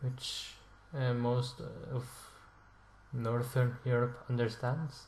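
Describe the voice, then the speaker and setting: In a room with audible echo, a man speaks at a very slow pace with medium pitch and monotone, flat intonation, somewhat breathy, with long, frequent pauses. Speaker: language learning video creator. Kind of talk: casual explainer monologue. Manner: halting, with fillers and self-corrections.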